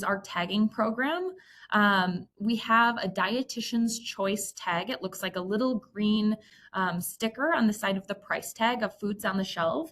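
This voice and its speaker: Speaking with a Midwestern accent, a woman uses a fairly high pitch and lively intonation at a moderate pace. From US Midwest. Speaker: dietitian. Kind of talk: presentation.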